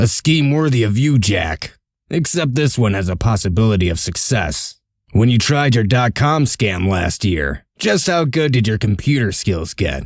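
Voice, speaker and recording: A man puts on a character voice at a medium pitch. He speaks at a moderate pace on a very clean recording with a silent background. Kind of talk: comic dub.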